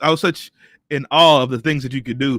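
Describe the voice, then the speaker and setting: Loud and animated, a man talks with a bright, sharp tone and ordinary pitch variation in a dry, close sound with no echo on a very clean recording with a silent background. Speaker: live stream host. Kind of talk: casual chat. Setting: live stream. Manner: loud, boisterous.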